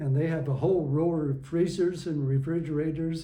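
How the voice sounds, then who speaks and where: A man with a fairly high pitch and a dark, mellow tone speaks at a moderate pace with fairly even intonation. Audible room echo surrounds his voice. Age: 80s+. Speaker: retired schoolteacher, community volunteer. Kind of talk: oral history interview. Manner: halting, with restarts.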